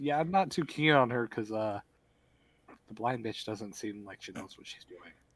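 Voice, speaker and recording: In a put-on, rumbling character voice, a man speaks at medium pitch and a moderate pace, with lively intonation and big swings in loudness. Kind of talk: casual, crude. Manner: grumbling.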